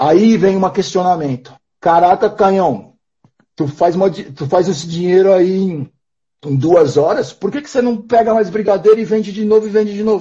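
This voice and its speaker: A high-pitched man talks at a moderate pace with ordinary pitch variation. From interior of São Paulo state, Brazil. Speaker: nomadic entrepreneur, street seller. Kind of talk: casual chat. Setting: live stream video call.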